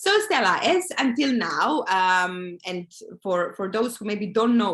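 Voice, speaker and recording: A woman speaks at a medium pitch with a Croatian accent. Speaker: online group host. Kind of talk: casual interview.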